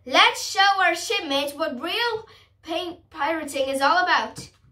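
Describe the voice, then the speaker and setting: At a moderate pace, a shrill put-on character voice sits at an extremely high pitch. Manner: boastful, rallying.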